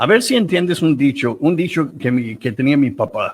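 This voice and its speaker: Lively intonation from a man with an English accent. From United States. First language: English (speaking Spanish). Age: 70s. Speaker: priest. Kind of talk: interview storytelling. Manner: halting, with many repetitions.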